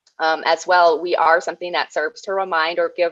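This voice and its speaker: In a dry, close sound with no echo, a woman with an American accent speaks at a moderate pace. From Red Cliff, northern Wisconsin. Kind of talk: presentation.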